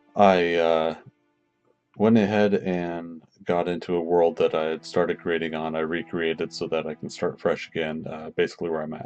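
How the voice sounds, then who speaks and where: Over music in the background, a man with a very deep, low pitch speaks at a moderate pace in a relaxed tone with monotone, flat intonation. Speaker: Minecraft let's player. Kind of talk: casual gameplay commentary. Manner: relaxed, hesitant.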